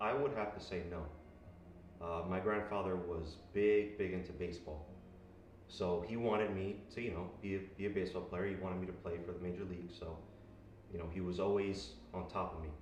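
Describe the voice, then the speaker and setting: Audible room echo surrounds a man with an American accent who speaks at a fairly quick pace in a very deep, low pitch with ordinary pitch variation. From US Northeast, Elizabeth, New Jersey. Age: 20s. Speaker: bodybuilder. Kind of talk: interview.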